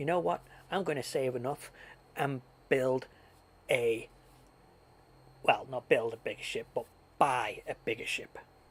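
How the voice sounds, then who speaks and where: A man performs a put-on character voice at a moderate pace. He leaves long, frequent pauses. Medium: virtual streamer. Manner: boastful.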